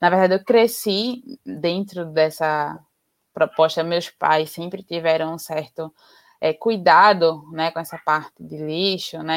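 In a dry, close sound with no echo, a woman speaks at a fairly slow pace with a fairly low pitch. She has a normal speaking voice. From Recife, Pernambuco, Brazil. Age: 20s. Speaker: biologist and environmental activist. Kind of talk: interview on a live stream. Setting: online live stream.

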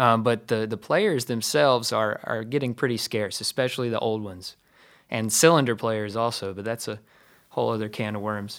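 Recorded very cleanly against a silent background, a man with an American accent has an unremarkable speaking voice at medium pitch, moderate pace and ordinary pitch variation. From US, rural. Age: 30s. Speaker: blues guitarist and DJ. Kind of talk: interview.

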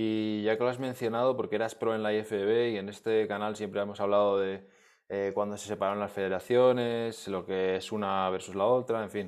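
With a Spanish accent, a man speaks at a moderate pace in a fairly low pitch, his intonation monotone and flat. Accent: Peninsular Spanish. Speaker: podcast host. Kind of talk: interview.

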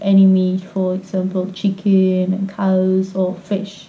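With noticeable background noise behind her, a woman with a Finnish accent speaks fairly slowly at a medium pitch. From Finland. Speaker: vegan traveler. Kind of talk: casual interview.

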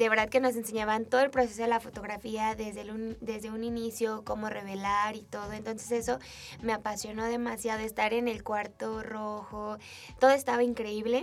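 A woman speaks in a central Mexican accent. Her fairly high pitch stays monotone and flat. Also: moderate pace. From Mexico, Aguascalientes. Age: 20s. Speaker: photographer and entrepreneur. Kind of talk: interview.

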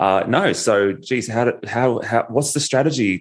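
A man speaks with an Australian accent. His pitch sits in the middle range, and his intonation is lively. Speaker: podcast host. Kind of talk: podcast interview.

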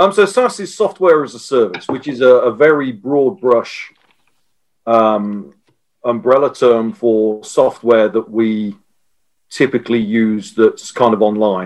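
A man speaks at a medium pitch in a normal speaking voice. His pace is fairly slow and his intonation lively. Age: 50s. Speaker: software strategist. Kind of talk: interview.

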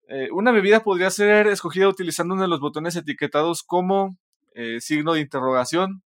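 On a very clean recording with a silent background, a man with a Mexican accent talks very fast at a high pitch with lively intonation, the sound dry and close with no echo. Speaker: podcast co-host. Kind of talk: casual chat.

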